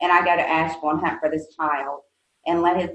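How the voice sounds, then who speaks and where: A woman with a fairly low pitch, in a Southern US accent. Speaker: nonprofit executive director and mother of an addict. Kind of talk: podcast interview. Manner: hesitant, many fillers.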